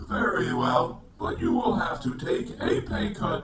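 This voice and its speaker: A man uses a put-on character voice with a high pitch. He speaks at a fairly slow pace with slight echo. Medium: comedy sketch. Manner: curt, dismissive.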